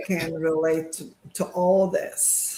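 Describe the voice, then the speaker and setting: This is a woman speaking. She has a Bulgarian accent. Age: 50s. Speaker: sonographer. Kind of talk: live interview.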